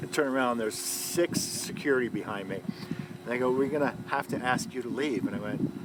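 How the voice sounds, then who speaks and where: The speech moves at a fairly quick pace with hardly any pauses and ordinary pitch variation. Noticeable background noise runs underneath. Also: man, medium pitch for a man. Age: 60s. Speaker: retired street performer and trade show entertainer. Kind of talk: casual chat. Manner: animated.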